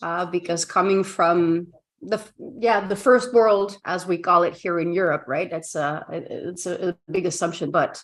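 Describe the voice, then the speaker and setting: A woman with a Flemish Belgian accent speaks over a quiet background. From Belgium, Ghent (Flanders). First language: Dutch (Flemish). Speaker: communication coach. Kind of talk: casual interview chat. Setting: video call.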